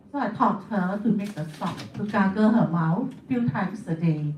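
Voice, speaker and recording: A woman speaks at a fairly slow pace with lively intonation. Audible room echo and noticeable background noise surround her. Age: 70s. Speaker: beauty therapist and product distributor. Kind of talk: testimony.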